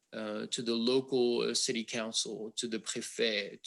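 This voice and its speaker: In a French accent, a man speaks at a moderate pace. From France. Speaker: wind industry advocate. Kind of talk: panel discussion. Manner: halting, many fillers.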